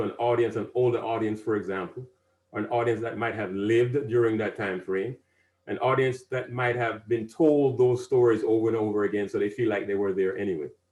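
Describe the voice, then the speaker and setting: At a fairly quick pace, a man speaks in a somewhat breathy voice with a medium pitch and ordinary pitch variation. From Caribbean. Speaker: civic advisor and speaker. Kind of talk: presentation to an audience.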